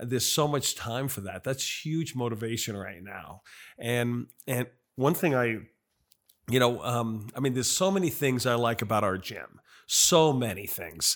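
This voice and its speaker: A man with a normal speaking voice at medium pitch, lively intonation, very clean recording with a silent background. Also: moderate pace. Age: 60s. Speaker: gym member and business owner. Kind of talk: casual interview.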